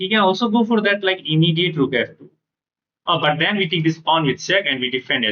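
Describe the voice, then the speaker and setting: Speaking at a fairly quick pace with a high pitch, a man uses lively intonation and big swings in loudness. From India (Bihar, Bhagalpur). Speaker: chess streamer. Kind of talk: live game commentary. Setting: live stream.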